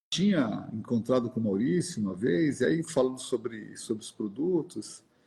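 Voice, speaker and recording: A man's medium-pitched voice at a moderate pace, with very wide pitch swings and big swings in loudness. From Brazil, São Paulo (Zona Norte). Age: 60s. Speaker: outdoor gear company director. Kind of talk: live-stream interview. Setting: live stream. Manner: halting, repeats words.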